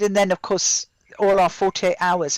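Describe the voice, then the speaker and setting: Heard on a very clean recording with a silent background and a dry, close sound with no echo, a woman speaks with a British accent. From UK. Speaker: playwright and theatre director. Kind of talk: casual panel discussion. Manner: halting, many fillers.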